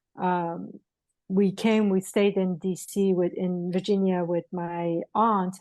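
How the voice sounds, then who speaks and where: Over a quiet background, a woman with a Persian accent speaks at a very slow pace. Her medium-pitched voice has a dark, mellow tone and monotone, flat intonation. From Iran, moved to US at eleven. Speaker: spiritual healer and author. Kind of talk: podcast interview.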